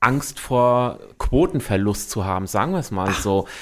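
A man's medium-pitched voice at a moderate pace. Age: 40s. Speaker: community radio host. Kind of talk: casual interview. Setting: radio studio. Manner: hesitant, many fillers.

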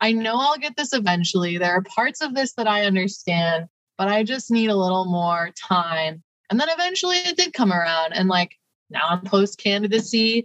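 Speaking with a Midwestern American accent, a woman keeps a moderate pace, lively intonation, and very even loudness. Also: medium pitch for a woman. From Ohio, Cleveland area. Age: 20s. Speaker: PhD candidate and community organizer. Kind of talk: interview.

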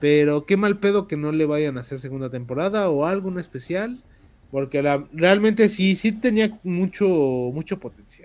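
With a high pitch, a man speaks in a lively intonation. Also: fairly slow pace. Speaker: podcast host. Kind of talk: casual chat. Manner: animated.

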